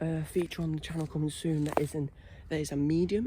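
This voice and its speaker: A man whispering, somewhat breathy, in a British accent. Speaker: paranormal investigation vlogger. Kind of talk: solo ghost-hunt vlog.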